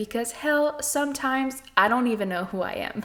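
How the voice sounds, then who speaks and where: A woman with a slight French Canadian accent speaks at a moderate pace with lively intonation. Noticeable background noise runs under her voice. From Quebec, French Canada. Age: 20s. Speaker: podcast host. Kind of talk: scripted narration.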